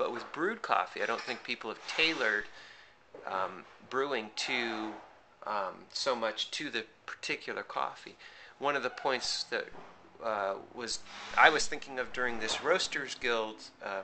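A man speaking at a fairly slow pace, with long, frequent pauses. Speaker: coffee roaster. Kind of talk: casual talk to camera. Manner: halting, hesitant.

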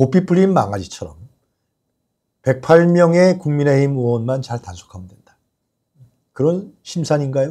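Against a quiet background, a man with a fairly high pitch and a dark, mellow tone speaks fairly slowly with lively intonation, big swings in loudness, and long, frequent pauses. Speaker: political commentary show host. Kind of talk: live news commentary. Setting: studio. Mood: critical, indignant. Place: studio. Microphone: lapel.

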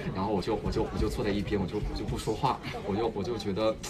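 Loud background noise sits under the speech. The pace is very fast, and the intonation fairly even. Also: man. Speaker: actor. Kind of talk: casual livestream talk. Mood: amused, reflective. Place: studio. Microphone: phone near.

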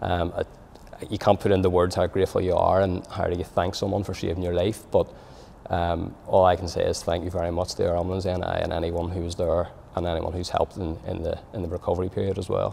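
Over light background noise, the speech comes very fast in a flat monotone. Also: man, very deep, low pitch for a man. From Northern Ireland, Belfast. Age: 30s. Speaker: cardiac arrest survivor, amateur footballer. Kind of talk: personal testimony. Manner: halting, many fillers and repetitions.

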